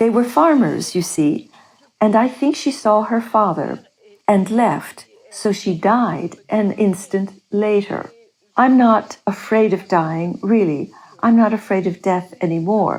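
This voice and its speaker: This woman has an ordinary speaking voice at a medium pitch, with ordinary pitch variation. She goes at a fairly slow pace, and her loudness stays very even. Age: 60s. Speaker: near-death experiencer, retiree. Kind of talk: interview testimony.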